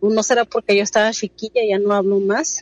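A woman with a normal speaking voice, fairly high pitch and ordinary pitch variation, in a dry, close sound with no echo. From Mexicali, Mexico. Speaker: caller. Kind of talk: phone-in storytelling.

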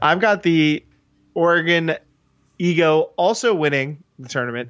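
An unremarkable speaking voice from a man, fairly high in pitch, with ordinary pitch variation. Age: 30s. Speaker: sports podcast co-host and ultimate coach. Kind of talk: casual sports talk show.

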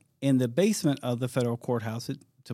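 In a very clean recording with a silent background, a man with an American accent speaks at a medium pitch with fairly even intonation in a plain, everyday voice. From US Midwest, Detroit, Michigan. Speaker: federal law enforcement official. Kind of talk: interview. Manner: frequent fillers and restarts.

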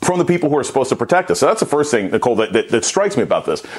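A man's fairly high voice, animated in tone with lively intonation, over noticeable background noise. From United States. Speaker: politics professor. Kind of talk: news panel commentary.

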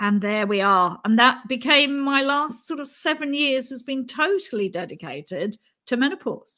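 A woman's raised, projected voice, high-pitched with a bright, sharp tone, lively intonation and a moderate pace. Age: 60s. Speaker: menopause educator. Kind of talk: webinar interview. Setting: video call webinar.

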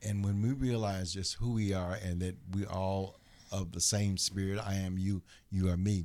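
A man's fairly low, dark, mellow voice with an American accent, monotone, flat intonation and a moderate pace. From US Midwest, Chicago. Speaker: author. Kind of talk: interview.

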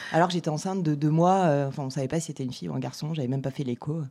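A woman speaks at a very deep, low pitch in a dark, mellow tone. Her intonation stays fairly even on a very clean recording with a silent background. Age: 40s. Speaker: mother. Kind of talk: casual interview.

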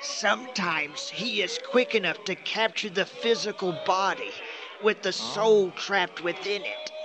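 A man does a put-on character voice at a high pitch. He keeps a moderate pace over clear background noise. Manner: formal, solemn, grave.

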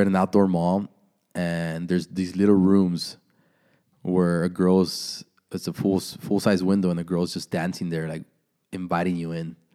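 This man has a very deep, low pitch and a dark, mellow tone. His intonation is monotone and flat. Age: 30s. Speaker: content creator and entrepreneur. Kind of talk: casual chat.

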